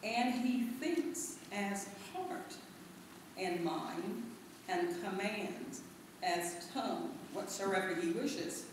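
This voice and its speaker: A woman's very slow speech with long, frequent pauses, strong room echo and noticeable background noise. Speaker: reader at a lecture. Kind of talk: reading a text aloud. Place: hall.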